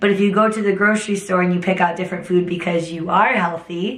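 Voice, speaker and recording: With audible room echo around her, a woman speaks at a very fast pace in a medium pitch with monotone, flat intonation. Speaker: fitness instructor. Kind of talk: motivational talk to camera. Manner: casual, conversational.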